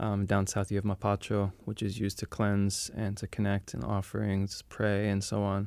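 On a very clean recording with a silent background, a man with an American accent speaks at a moderate pace in a monotone, flat intonation, with hardly any pauses. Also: fairly low pitch for a man. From New York City. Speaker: plant medicine practitioner. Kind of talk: casual interview.

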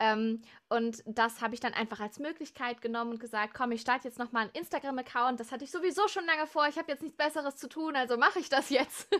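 A woman with a bright, sharp tone and a high pitch talks at a very fast pace, with ordinary pitch variation and hardly any pauses. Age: 20s. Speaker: musician and music student. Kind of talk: casual interview. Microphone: technical problems at start.

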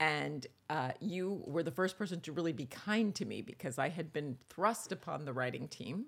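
With an American accent, a woman talks in a very deep, low voice with vocal fry and lively intonation over a very clean recording with a silent background. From New York. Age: 60s. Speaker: television writer and author. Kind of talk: interview conversation.

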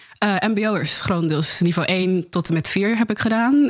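A woman's voice over noticeable background noise. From Netherlands, Rotterdam-Zuid. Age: 20s. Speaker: peer educator. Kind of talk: casual interview.

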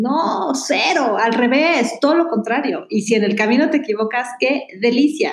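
A woman speaks at a high pitch and moderate pace. Her pitch varies in an ordinary way. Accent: Mexican. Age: 40s. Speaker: columnist and comedic speaker. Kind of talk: casual chat.

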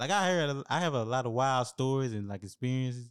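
In a very clean recording with a silent background, a man with a normal speaking voice and medium pitch talks at a fairly quick pace. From small-city US. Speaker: military veteran and film student. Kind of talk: casual chat.

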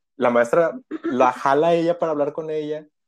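This is a man speaking at a moderate pace. His pitch is fairly high. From Reynosa, Tamaulipas, Mexico. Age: 30s. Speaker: podcast guest. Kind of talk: casual chat.

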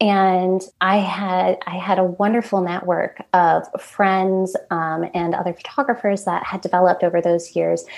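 In an American accent, a woman speaks fairly slowly at medium pitch with fairly even intonation and hardly any pauses. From central New York. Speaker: wedding photographer. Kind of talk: casual interview. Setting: remote audio call. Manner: easygoing, happy.

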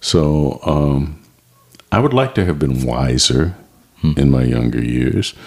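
A man speaks very slowly with a very deep, low pitch, ordinary pitch variation and very even loudness. Long, frequent pauses break up his speech over noticeable background noise. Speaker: retired television industry worker. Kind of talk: interview.

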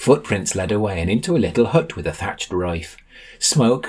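This is an unforced reading voice. The lines are simply read aloud.

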